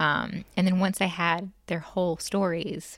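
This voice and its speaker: A woman with a Mississippi accent speaks at a medium pitch in a monotone, flat delivery, recorded very cleanly against a silent background. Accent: Southern US (Mississippi). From US South, Jackson, Mississippi. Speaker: novelist and historian. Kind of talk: interview.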